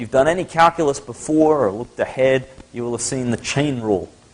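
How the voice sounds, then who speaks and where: Noticeable background noise sits behind a man who speaks at a medium pitch with an American accent. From Australia, Sydney. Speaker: math lecturer. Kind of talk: lecture. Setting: lecture hall with audience. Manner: casual, conversational.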